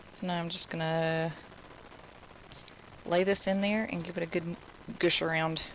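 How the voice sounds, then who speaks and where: Someone with an American accent speaks at a moderate pace in a monotone, flat intonation, leaving long, frequent pauses. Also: woman, fairly low pitch for a woman. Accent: Southern US, toned down, thicker when nervous. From Alabama. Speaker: craft instructor. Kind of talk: live craft tutorial. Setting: live stream. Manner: casual, chatty.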